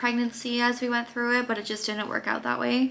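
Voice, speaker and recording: Soft-spoken, a woman talks with a bright, sharp tone. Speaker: vlogger. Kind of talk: casual chat.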